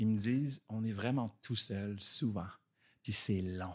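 A man's fairly low-pitched voice with fairly even intonation, on a very clean recording with a silent background. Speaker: actor and director. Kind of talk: casual chat.

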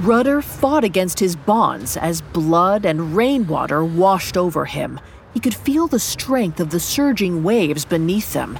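A woman speaks at a fairly slow pace in a dramatic tone, her pitch swinging very widely. Background noise is noticeable. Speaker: narrator of audio drama. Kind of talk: scripted narration, dramatic horror storytelling. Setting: studio. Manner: measured, ominous, dramatic.

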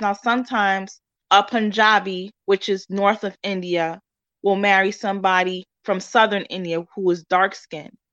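A woman with a New York accent, medium pitch, fairly even intonation and a moderate pace, over a quiet background. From New York, Spanish Harlem. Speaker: author. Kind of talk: interview.

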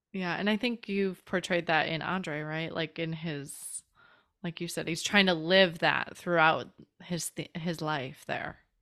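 On a very clean recording with a silent background, a woman with a Midwestern US accent speaks in a bright, sharp tone, her pitch fairly low and her intonation fairly even. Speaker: podcast host. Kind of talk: casual interview chat.

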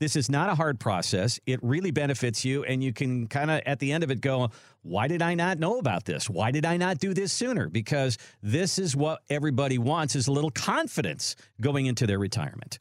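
This man has a normal speaking voice with a fairly high pitch. He talks at a fairly quick pace with lively intonation and very even loudness. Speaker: radio show host. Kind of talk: casual radio talk show chat.

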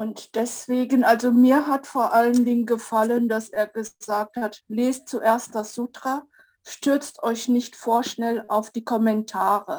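At a very slow pace, a woman talks in a fairly high pitch. Her intonation is monotone and flat. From Zurich Oberland, Switzerland. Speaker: study group participant. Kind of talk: group discussion.

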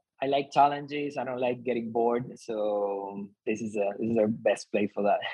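A man with a Spanish accent, medium pitch, moderate pace, fairly even intonation and hardly any pauses. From Argentina. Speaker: company founder. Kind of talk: interview.

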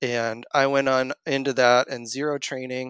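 With a Maritime Canadian accent, a man speaks in a flat monotone, recorded dry and close with no echo against a silent, very clean background. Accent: Canadian (Maritimes). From Canada, Nova Scotia. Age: 30s. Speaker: running coach and engineer. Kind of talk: interview conversation.

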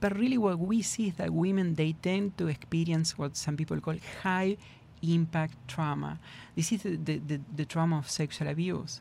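In an Argentine accent, the speaker keeps a moderate pace in a very clean recording with a silent background. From Argentina. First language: Spanish. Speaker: trauma therapist. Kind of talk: interview discussion.

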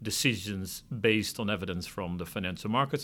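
On a very clean recording with a silent background, a man with a Dutch accent talks at a fairly quick pace in a fairly low pitch. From Netherlands. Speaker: financial regulator. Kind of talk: interview.

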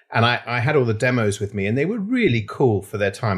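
There is a very clean recording with a silent background of a man whose voice is somewhat breathy. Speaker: restaurateur and founder. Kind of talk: interview chat. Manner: hesitant, repeats words.

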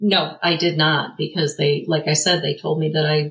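Using vocal fry, a woman speaks at a moderate pace in a very deep, low pitch with monotone, flat intonation. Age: 40s. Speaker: pagan group leader and military spouse. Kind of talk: interview.

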